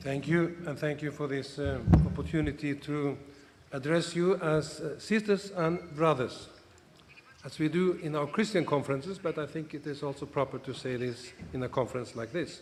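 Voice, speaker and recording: Noticeable background noise sits behind a man with a fairly high voice who speaks at a moderate pace with ordinary pitch variation. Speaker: bishop. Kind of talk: conference speech.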